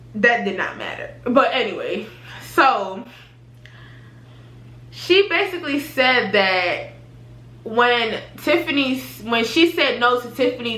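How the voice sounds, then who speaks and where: There is noticeable noise in the background. The voice's pitch rises and falls over a very wide range. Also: woman. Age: 20s. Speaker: YouTuber. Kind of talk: casual storytime talk to camera.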